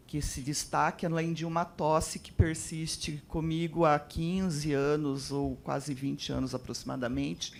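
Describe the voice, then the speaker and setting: A woman speaks at a fairly slow pace in a very deep, low pitch. She takes hardly any pauses, and her loudness swings widely. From interior of São Paulo state, Brazil. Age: 60s. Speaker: audience member, possible patient. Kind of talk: question from audience. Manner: halting, hesitant.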